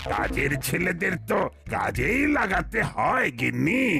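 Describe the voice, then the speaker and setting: Using a cartoonish character voice, a man talks at a very slow pace over clear background noise. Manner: stammering with filler words.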